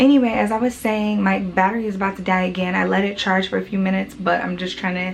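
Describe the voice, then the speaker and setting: A woman talks very fast with fairly even intonation at a medium pitch. Noticeable background noise can be heard. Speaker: hair care vlogger. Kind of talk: casual vlog talk.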